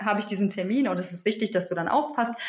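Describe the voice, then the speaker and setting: A woman's somewhat breathy voice with ordinary pitch variation. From Hamburg, northern Germany. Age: 30s. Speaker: midwife. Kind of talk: interview conversation.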